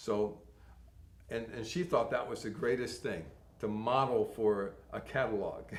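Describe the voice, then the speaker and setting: Audible room echo accompanies a man talking fairly slowly at a fairly low pitch with an American accent. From Connecticut, US. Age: 60s. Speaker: model and actor. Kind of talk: interview.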